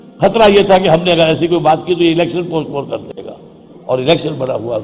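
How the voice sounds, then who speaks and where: This man has a high voice with ordinary pitch variation and big swings in loudness. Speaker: Islamic religious scholar. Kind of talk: religious sermon.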